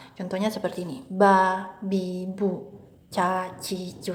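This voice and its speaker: A woman is speaking. She has a slight Maluku accent. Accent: light Maluku accent and dialect. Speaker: English and Mandarin tutor. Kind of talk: educational tutorial talk.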